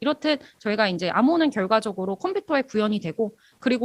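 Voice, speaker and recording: Very wide pitch swings in a woman's fairly high-pitched speech. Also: dry, close sound with no echo. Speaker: university lecturer in cryptography. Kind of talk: lecture. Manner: fast.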